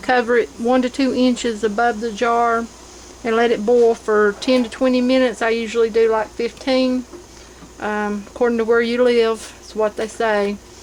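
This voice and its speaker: A woman speaks at a moderate pace in a fairly high pitch, her intonation flat and monotone, with noticeable background noise behind her. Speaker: home canning and crafts vlogger. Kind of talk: tutorial. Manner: casual, with frequent ums.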